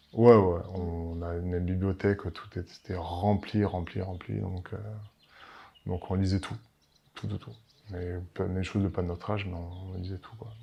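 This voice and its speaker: A man with a very deep, low pitch and a dark, mellow, somewhat breathy tone speaks fairly slowly in a flat monotone, with long, frequent pauses and big swings in loudness. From Paris, France. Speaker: winemaker. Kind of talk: interview. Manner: halting, many fillers and repetitions.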